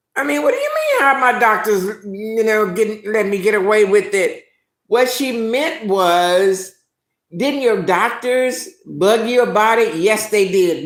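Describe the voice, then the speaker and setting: A woman speaks in an animated tone at a fairly high pitch. Room echo can be heard. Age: 70s. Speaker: live-stream host. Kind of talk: casual live-stream chat.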